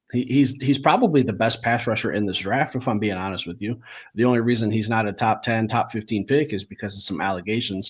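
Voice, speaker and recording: A man races along at a very fast pace, his medium pitch varying in an ordinary way. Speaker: sports podcast host. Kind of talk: casual chat. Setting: at home, baby sleeping downstairs. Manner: quiet, talking softly.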